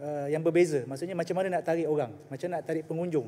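Fairly high in pitch, a man speaks with a dark, mellow tone. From Malaysia, Selangor (Shah Alam); Selangor, Malaysia. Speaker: state assemblyman. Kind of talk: parliamentary debate. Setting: legislative assembly chamber. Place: hall. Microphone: podium.

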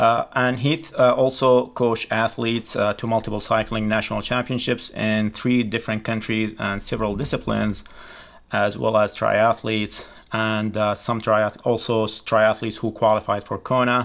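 The man talks at a moderate pace. His intonation is monotone and flat. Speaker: channel host. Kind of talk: video intro and guest introduction. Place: studio.

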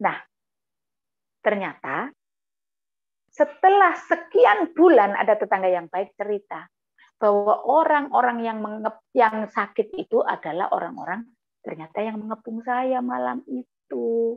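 The voice makes very wide pitch swings at a fairly slow pace, with long, frequent pauses. The background is quiet. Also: woman, fairly high pitch for a woman. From East Java, Batu Malang; East Java. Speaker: guest. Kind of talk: testimony. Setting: video call. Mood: emotional, earnest storytelling. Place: home room. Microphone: earbuds.

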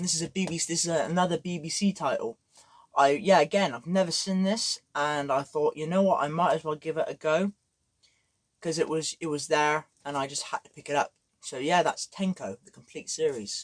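At a moderate pace and with ordinary pitch variation, a man speaks over a quiet background. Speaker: vlogger. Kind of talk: casual vlog chat. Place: home room. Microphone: camera far.

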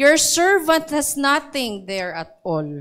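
A woman's high voice with very wide pitch swings, very slow, over a quiet background. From Philippines. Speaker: preacher. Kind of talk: sermon. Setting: church with live audience. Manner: animated; exhortative, repeats points. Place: church. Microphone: handheld.

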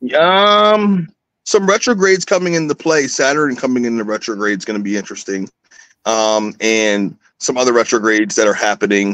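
With very wide pitch swings, a man talks at a moderate pace in a dry sound with no echo against a quiet background. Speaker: astrologer; guest. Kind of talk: casual chat. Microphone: video call.

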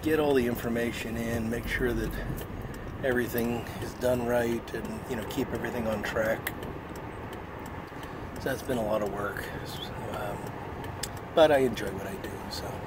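He speaks at a moderate pace, leaving long, frequent pauses, while loud noise carries on behind him. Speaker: cigar vlogger. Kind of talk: casual vlog chat. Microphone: phone near.

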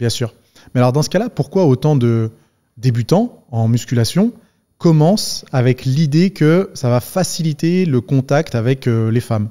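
Against a quiet background, a man speaks fairly slowly with lively intonation. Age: 30s. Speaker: podcast host and fitness YouTuber; podcast host, fitness YouTuber. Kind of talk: casual interview conversation. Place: studio. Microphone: studio mic.

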